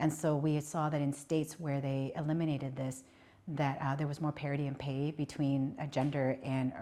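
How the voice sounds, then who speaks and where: In a Southeast Asian accent, a woman speaks at a moderate pace with a very deep, low pitch, a dark, mellow tone, and monotone, flat intonation. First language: Hmong. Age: 50s. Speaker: politician. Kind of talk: interview. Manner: conversational, many filler words.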